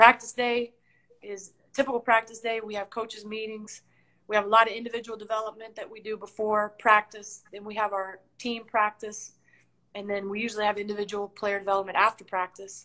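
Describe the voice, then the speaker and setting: Over a quiet background, a woman with a bright, sharp, fairly high voice speaks fairly quickly in a flat monotone, her loudness swinging widely. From Tennessee, Nashville; Tennessee. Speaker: basketball coach. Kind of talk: interview. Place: home room. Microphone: video call.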